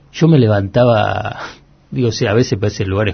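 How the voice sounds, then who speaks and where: A fairly low-pitched, somewhat breathy male voice at a moderate pace. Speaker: economic journalist. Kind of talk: interview. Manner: halting, many repetitions.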